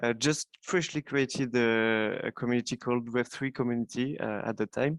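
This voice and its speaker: Over a quiet background, someone speaks with a French accent at a moderate pace and with fairly even intonation. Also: man, medium pitch for a man, dry, close sound with no echo. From France. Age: 20s. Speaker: software developer. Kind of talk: interview. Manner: halting.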